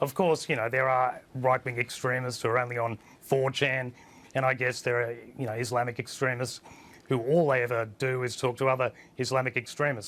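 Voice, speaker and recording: With an Australian accent, a man speaks very fast at medium pitch in a monotone, flat intonation. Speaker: online news editor and publisher. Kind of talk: TV panel discussion. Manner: hesitant, many fillers.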